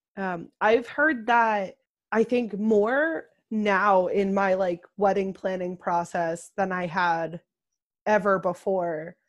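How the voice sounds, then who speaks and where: Over a quiet background, a woman at medium pitch uses ordinary pitch variation in an ordinary speaking voice. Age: 20s. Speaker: podcast co-host. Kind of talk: casual chat.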